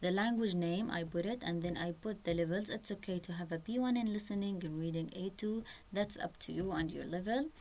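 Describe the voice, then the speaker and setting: Speaking with an Arabic accent, a woman uses a fairly low pitch and fairly even intonation at a fairly quick pace. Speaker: website tutorial presenter. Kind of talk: tutorial.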